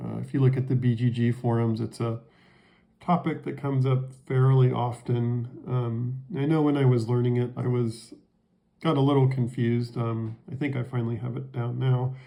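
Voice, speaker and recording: At a moderate pace, a man speaks at medium pitch in a dark, mellow, somewhat breathy tone with monotone, flat intonation. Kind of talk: board game rules tutorial. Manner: sluggish, halting.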